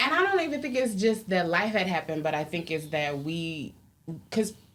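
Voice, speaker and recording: Over noticeable background noise, a woman speaks at a moderate pace with fairly low pitch and lively intonation. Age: 30s. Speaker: podcast co-host. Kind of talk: casual chat.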